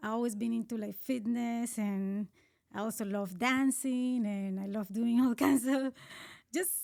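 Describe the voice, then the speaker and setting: At a fairly slow pace, a woman with a Colombian accent talks at a fairly high pitch with ordinary pitch variation, on a very clean recording with a silent background. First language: Spanish. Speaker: marathon runner. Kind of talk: casual interview. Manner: halting.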